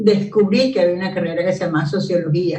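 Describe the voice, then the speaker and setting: This is a woman's voice. It has a somewhat breathy quality. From Venezuela, Caracas. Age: 70s. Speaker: sociologist. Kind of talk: interview.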